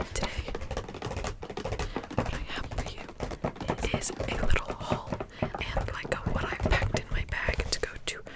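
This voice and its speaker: Someone whispers with an American accent over noticeable background noise. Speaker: ASMR creator. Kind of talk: ASMR whisper rambling. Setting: studio, close-mic at home. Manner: fast, whispered, repetitive.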